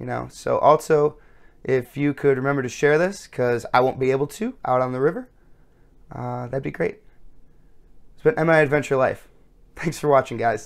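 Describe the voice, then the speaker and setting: Speaking at a moderate pace against a quiet background, a man shows big swings in loudness and takes long, frequent pauses. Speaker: channel host. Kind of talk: casual vlog outro. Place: home room.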